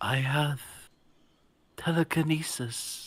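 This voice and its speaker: A put-on character voice at a low-to-middle pitch, on a very clean recording with a silent background. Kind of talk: comic overacting. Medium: read story. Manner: mock-archaic, pompous, commanding.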